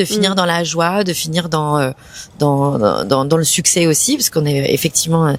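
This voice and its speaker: A woman with a fairly low pitch talks at a moderate pace in an unremarkable speaking voice, with ordinary pitch variation and very even loudness. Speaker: actress and comedian. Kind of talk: interview answer.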